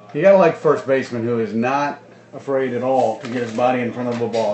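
A man talks at a very fast pace with fairly even intonation. Light background noise and audible room echo are present. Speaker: baseball broadcaster. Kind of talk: live sports commentary. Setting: press box, air-conditioned. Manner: casual, conversational play-by-play with filler words and light humor. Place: stadium. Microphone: phone near.

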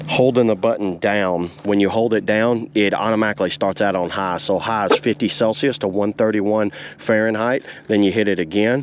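A man at a moderate pace, fairly low in pitch, with fairly even intonation and few pauses

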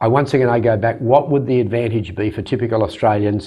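Against a quiet background, a man talks at a fairly quick pace in a fairly low, somewhat breathy voice. His intonation stays fairly even. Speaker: interview guest. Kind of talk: interview answer. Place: studio. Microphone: lapel.

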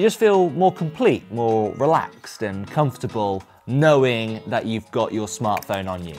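A man at a fairly slow pace, his pitch swinging very widely, with faint music in the background. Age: 20s. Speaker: lifestyle vlogger. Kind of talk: personal vlog monologue. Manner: casual. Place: home room. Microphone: lapel.

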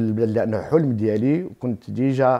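A man's dark, mellow tone at a medium pitch, with ordinary pitch variation and a quiet background. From Morocco, Tiflet, Souss roots; Morocco. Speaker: shop owner. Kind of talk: interview. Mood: warm, cheerful. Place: home room. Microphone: lapel.

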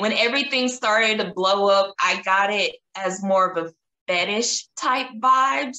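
In a Southern US accent, a woman speaks at a fairly slow pace with lively intonation, with audible room echo and a quiet background. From Tennessee. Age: 20s. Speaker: model; interview guest. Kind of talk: interview. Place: home room. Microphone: video call.

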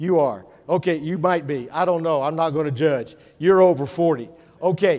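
A man speaks at a moderate pace with a fairly high pitch and ordinary pitch variation. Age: 60s. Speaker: educator. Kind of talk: conference talk. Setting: stage with audience. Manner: animated. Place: hall.

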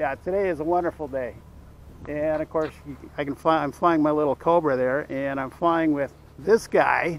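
A man speaks at a moderate pace with fairly even intonation. The sound is dry with no echo. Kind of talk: casual vlog chat. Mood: cheerful, relaxed. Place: open country. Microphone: phone near.

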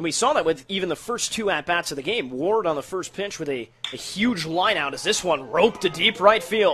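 A man with an American accent, high-pitched, fairly quick and lively in intonation, with hardly any pauses and clear music in the background. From United States. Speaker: play-by-play sports announcer. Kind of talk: live baseball play-by-play broadcast call. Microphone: headset.

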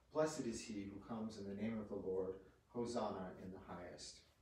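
Over light background noise and audible room echo, a man speaks at a fairly low pitch with ordinary pitch variation. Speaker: priest. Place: home room. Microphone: camera far.

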